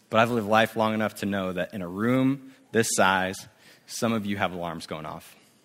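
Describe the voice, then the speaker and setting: A man with a West Coast accent speaks in a fairly low voice. His pace is moderate and his pitch variation ordinary. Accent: general American (West Coast). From US Pacific Northwest, Spokane, Washington. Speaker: youth ministry director, guest preacher. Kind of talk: sermon. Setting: church service with congregation. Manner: casual, with fillers.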